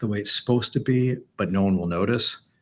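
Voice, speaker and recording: In a very clean recording with a silent background, a man with an American accent speaks at a fairly quick pace. His pitch is fairly low. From Chicago, US Midwest. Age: 60s. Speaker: businessman. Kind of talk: interview conversation. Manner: halting, many repeated words.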